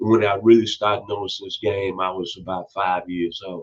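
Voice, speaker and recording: In a Memphis accent, a man with a fairly low voice talks at a fairly quick pace. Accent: Southern US (Memphis). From US South, Memphis, Tennessee. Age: 60s. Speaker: football commentator youtuber. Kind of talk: casual opinion monologue.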